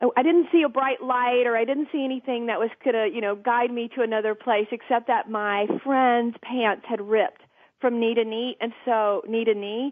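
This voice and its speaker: At a moderate pace, a woman with a Southern US accent speaks in a high pitch with ordinary pitch variation. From US South, Georgia (south of Atlanta). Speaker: TV interviewer and producer, podcast guest. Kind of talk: personal storytelling in interview. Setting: talk radio podcast.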